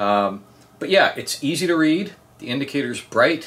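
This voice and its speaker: The speaker is male. His pitch moves in a lively way. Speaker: product reviewer. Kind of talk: casual review talk. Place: home room.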